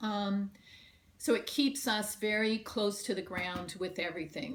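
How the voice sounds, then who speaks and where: A woman's medium-pitched voice carries lively intonation against audible room echo. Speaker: union organizer. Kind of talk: conference presentation.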